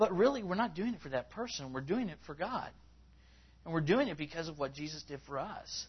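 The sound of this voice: A man's fairly high-pitched voice, lively in intonation, at a moderate pace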